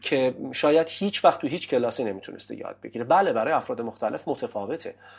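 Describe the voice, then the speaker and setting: An unremarkable speaking voice from a man at medium pitch, fairly quick and lively in intonation, against a quiet background. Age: 30s. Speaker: English teacher. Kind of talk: interview. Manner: formal.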